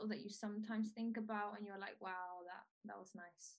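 With a Spanish accent, a woman is speaking. Her voice is pitched fairly high. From Venezuela. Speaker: podcast host. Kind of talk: interview.

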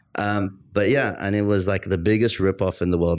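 A man with an Arabic accent at a fairly quick pace, with ordinary pitch variation. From Australia and London, UK. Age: 30s. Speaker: marketing consultant. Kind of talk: casual interview chat.

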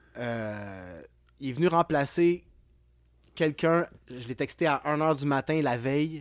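Speaking at a very slow pace with long, frequent pauses, a man uses lively intonation at a fairly high pitch on a very clean recording with a silent background. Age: 40s. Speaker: clothing brand co-founder. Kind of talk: casual interview chat. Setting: music rehearsal studio.

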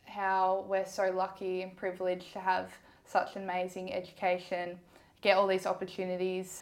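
A woman speaks with an Australian accent. Her voice sits at a medium pitch. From Ballarat, Victoria, Australia. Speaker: physiotherapy student. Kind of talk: interview.

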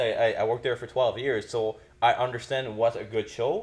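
A man with a Quebec accent, at a very fast pace. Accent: Québécois French-accented English. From Quebec, Canada. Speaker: podcast host. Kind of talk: casual chat.

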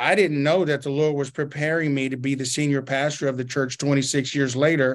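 In an American accent, a man with a fairly high pitch speaks at a moderate pace. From Arkansas. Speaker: pastor. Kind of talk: interview.

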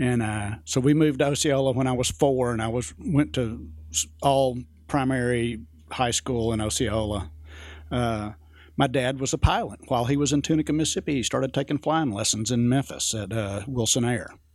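On a very clean recording with a silent background, a man with an American accent speaks at a moderate pace in an unremarkable speaking voice of medium pitch. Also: lively intonation. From US South. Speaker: pilot and aviation storyteller. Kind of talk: casual chat, storytelling over whiskey. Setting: studio, drinking whiskey.

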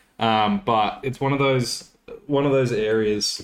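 With an Australian accent, a man speaks in a fairly even intonation. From Australia, Coffs Harbour, New South Wales. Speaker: podcast host. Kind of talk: casual chat.

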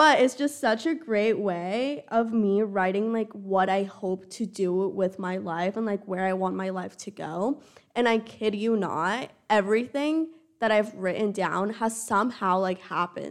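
A woman with a plain, everyday voice speaks at a fairly slow pace and medium pitch, with ordinary pitch variation. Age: 20s. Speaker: college student podcast co-host. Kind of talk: casual chat.

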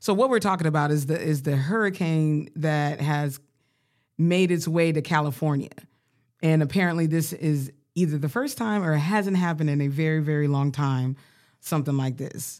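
In a very clean recording with a silent background, a woman with an American accent speaks at a moderate pace in a very deep, low pitch. Her tone is animated, with ordinary pitch variation. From Colorado, US. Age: 30s. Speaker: podcast co-host. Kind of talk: casual chat.

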